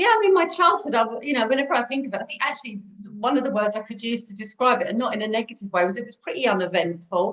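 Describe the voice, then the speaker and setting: A woman with a London accent talks at a very fast pace in a fairly high pitch, with very wide pitch swings and big swings in loudness. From North London. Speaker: recovering alcoholic sharing her story. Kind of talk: interview testimony.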